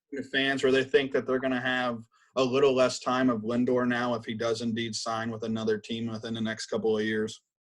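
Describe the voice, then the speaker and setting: A man talks at a medium pitch and a fairly quick pace. His intonation stays monotone and flat. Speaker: podcast co-host and interviewer. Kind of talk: podcast hosting and interview questions.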